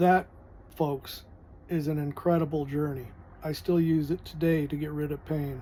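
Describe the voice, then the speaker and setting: The delivery keeps a moderate pace but has long, frequent pauses. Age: 60s. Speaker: air force veteran and retired sheet metal worker. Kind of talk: casual personal testimony vlog. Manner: halting, with self-corrections.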